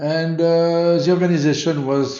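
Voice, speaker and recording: A man speaks with a French accent. Audible room echo surrounds his voice. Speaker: motorsport event organiser. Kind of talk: interview. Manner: halting.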